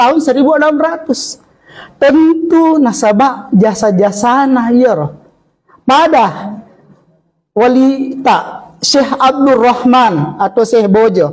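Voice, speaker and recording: With a South Sulawesi accent, a man speaks at a very slow pace in an extremely high pitch, his intonation lively and his loudness very even. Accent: Bugis, Sidenreng Rappang dialect. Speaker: Islamic preacher. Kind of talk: religious sermon to a congregation. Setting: mosque.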